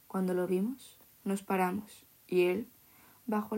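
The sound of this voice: The intonation holds fairly even in this unforced reading voice.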